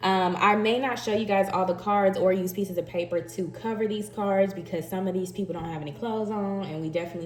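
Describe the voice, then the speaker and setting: A woman talks at a fairly quick pace with a slight Southern US accent, a medium pitch, and an animated tone. Her pitch variation is ordinary, with music in the background and audible room echo. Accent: slight Southern twang. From Texas, Dallas. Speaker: tarot reader. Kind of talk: intuitive tarot reading, casual chat. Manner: chatty, animated.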